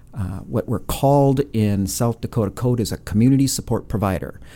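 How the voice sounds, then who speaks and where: In an Upper Midwest accent, a man with a dark, mellow tone talks at a moderate pace with ordinary pitch variation. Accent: Upper Midwest American. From Minnesota (Brainerd). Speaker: nonprofit CEO. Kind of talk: interview. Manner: halting, many fillers.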